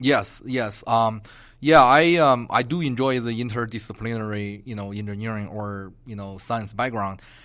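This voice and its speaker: A man talks with a Chinese accent. His loudness swings widely from moment to moment. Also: medium pitch for a man, ordinary pitch variation, moderate pace. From China, Beijing. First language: Mandarin Chinese. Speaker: geography professor. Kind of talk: interview. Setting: university campus. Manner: halting.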